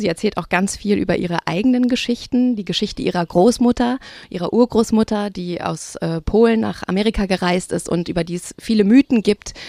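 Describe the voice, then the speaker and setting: A woman's plain, everyday voice at medium pitch, fairly quick with hardly any pauses and ordinary pitch variation, on a very clean, dry, close recording with no echo and a silent background. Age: 30s. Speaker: writer and critic, podcast host. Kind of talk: literary discussion. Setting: outdoors.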